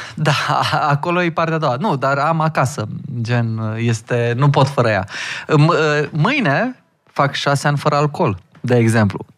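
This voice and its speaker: A man's fairly high, fairly slow voice with very even loudness and ordinary pitch variation, an unremarkable speaking voice, on a very clean recording with a silent background. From Hunedoara, Romania. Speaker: magician. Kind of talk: casual chat.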